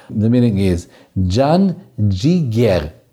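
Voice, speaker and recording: In a Macedonian accent, a man speaks with a fairly low pitch. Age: 60s. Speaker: folk music teacher and podcast co-host. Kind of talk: casual explanatory chat.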